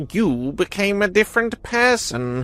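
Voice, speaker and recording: A put-on character voice sits at a fairly high pitch, moving at a moderate pace with very wide pitch swings. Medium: read story. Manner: worried, quiet.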